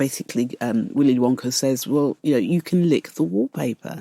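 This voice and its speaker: A woman with a British accent speaks at a fairly quick pace with lively intonation and a dark, mellow tone, in a dry, close recording with no echo. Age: 60s. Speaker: artist. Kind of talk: interview. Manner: calm; halting.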